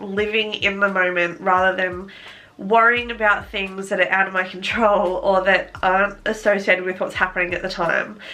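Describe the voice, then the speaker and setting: With an Australian accent, a woman talks at a moderate pace and a medium pitch. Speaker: lifestyle vlogger. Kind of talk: casual vlog talk to camera. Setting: sitting in front of a camera at home.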